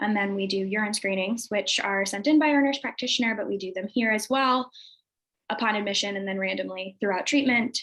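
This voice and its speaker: A woman speaks at a fairly quick pace in a medium pitch. Her pitch variation is ordinary. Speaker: addiction treatment program clinician. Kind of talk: slide presentation at a meeting. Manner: fast.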